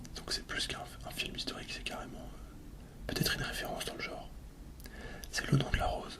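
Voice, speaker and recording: A man whispers at a fairly quick pace, stopping often for long pauses. Noticeable background noise is audible. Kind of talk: ASMR soft-spoken film talk. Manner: soft-spoken.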